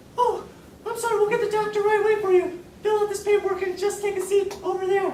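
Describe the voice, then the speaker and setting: This put-on character voice is squeaky and extremely high, delivered very fast. Its intonation stays monotone and flat, with a slight echo. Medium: stage play.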